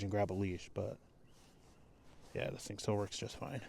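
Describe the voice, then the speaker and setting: This man has a fairly low voice and speaks very fast. The recording is very clean, with a silent background. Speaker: retired police K9 handler, vlogger. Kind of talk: casual vlog narration. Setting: at home, then outdoors at night. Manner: casual, hesitant with fillers.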